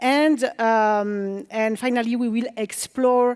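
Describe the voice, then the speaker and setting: On a very clean recording with a silent background, a woman speaks in a high voice with a French accent. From France. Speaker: developer relations engineer, conference speaker. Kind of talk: conference talk. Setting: stage with audience.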